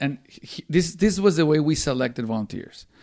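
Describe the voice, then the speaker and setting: On a very clean recording with a silent background, a man with fairly high pitch makes very wide pitch swings. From Mexico City, Mexico. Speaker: church volunteer management consultant. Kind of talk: interview.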